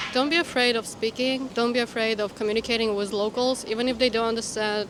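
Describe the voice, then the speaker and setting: Over noticeable background noise, a woman speaks very fast at a fairly high pitch, her intonation fairly even and her loudness very even. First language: not Chinese. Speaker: Mandarin learner interviewed on street. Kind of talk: street interview.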